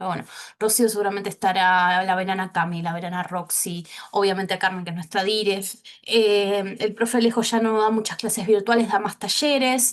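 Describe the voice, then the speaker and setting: Fairly even intonation at a fairly quick pace, in an unremarkable speaking voice. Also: woman, medium pitch for a woman. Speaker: teacher. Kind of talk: online class.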